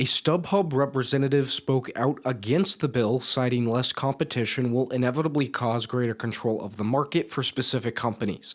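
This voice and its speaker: A man's medium-pitched, normal speaking voice, fairly quick with hardly any pauses and ordinary pitch variation, on a very clean recording with a silent background. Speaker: student sports and news anchor reporter. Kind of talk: TV news anchor / reporter delivery.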